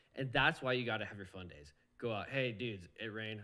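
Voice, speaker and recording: A loud, animated man with a bright, sharp tone at a fairly quick pace. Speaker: professional off-road motorcycle racer. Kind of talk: casual podcast interview. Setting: live podcast.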